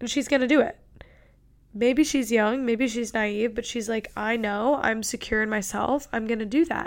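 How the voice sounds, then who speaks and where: A woman's fairly high voice at a moderate pace, on a very clean recording with a silent background. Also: fairly even intonation. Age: 20s. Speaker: podcast host. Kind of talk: casual solo podcast monologue.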